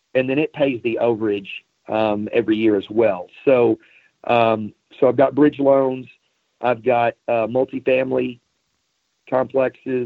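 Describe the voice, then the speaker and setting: A man speaks in a plain, everyday voice at a medium pitch, with fairly even intonation and a fairly slow pace. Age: 50s. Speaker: automotive sales trainer. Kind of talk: interview.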